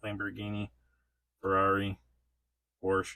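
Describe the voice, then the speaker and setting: A man speaking at a moderate pace. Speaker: toy reviewer. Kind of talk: casual unboxing review. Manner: casual, filler-heavy.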